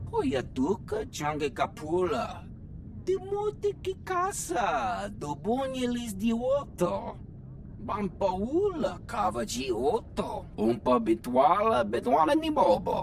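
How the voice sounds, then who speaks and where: Put-on character voice at a fairly slow pace, clear background noise behind it. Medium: video game.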